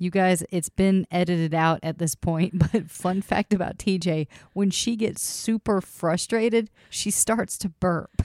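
A woman talks fairly slowly at a medium pitch with fairly even intonation. The sound is dry and close with no echo, an ordinary speaking voice. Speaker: podcast host. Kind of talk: casual chat.

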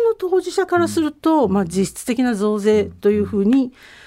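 A woman's voice has a dark, mellow tone and very wide pitch swings. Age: 50s. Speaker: radio commentator and university professor. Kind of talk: radio commentary segment.

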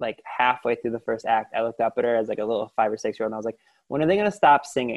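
A man with an American accent talks at a very fast pace. His pitch is medium, with ordinary pitch variation. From Lorain, Ohio. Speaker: podcast host. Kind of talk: interview.

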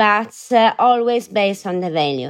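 A woman with an Italian accent speaks at a fairly slow pace in a medium pitch, her intonation lively against a quiet background. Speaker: fashion brand co-founder. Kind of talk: interview. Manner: halting.

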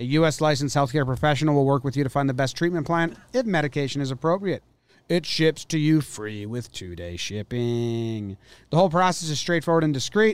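A man talks at a fairly quick pace in a normal speaking voice, fairly high-pitched, with lively intonation. The recording is very clean, with a silent background. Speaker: podcast co-host. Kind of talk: casual chat.

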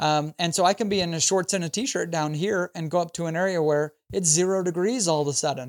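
An American-accented man with a high pitch and ordinary pitch variation, fairly quick pace with hardly any pauses, dry close sound with no echo, very clean recording, silent background. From Idaho. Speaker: gun YouTuber and hunter. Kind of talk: casual interview chat.

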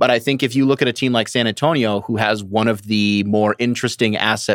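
On a very clean recording with a silent background, a man with an American accent speaks at a fairly quick pace in a plain, everyday voice, with medium pitch and fairly even intonation. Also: dry, close sound with no echo. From Michigan. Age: 20s. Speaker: basketball writer. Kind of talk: casual chat. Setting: live audio room.

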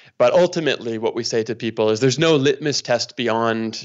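With a Canadian accent, a man talks at a fairly quick pace in a medium pitch. It is an unremarkable speaking voice with ordinary pitch variation. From Canada, near Toronto. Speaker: pastor. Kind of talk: casual interview conversation.

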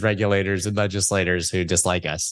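A man with an American accent, fairly low pitch and a moderate pace, in a plain, everyday voice. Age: 40s. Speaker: crypto podcast host. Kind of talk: interview.

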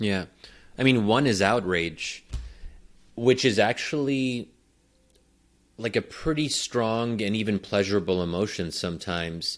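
Here a man with a fairly low pitch speaks at a fairly slow pace, with ordinary pitch variation and long, frequent pauses. The recording is very clean, and the background is silent. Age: 30s. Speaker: political scientist. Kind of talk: casual chat.

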